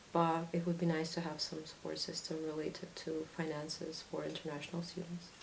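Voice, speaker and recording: The speaker has a Russian accent and a monotone, flat intonation at a fairly quick pace. Audible room echo and noticeable background noise fill the recording. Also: woman, fairly low pitch for a woman. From Latvia. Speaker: student. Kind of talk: interview.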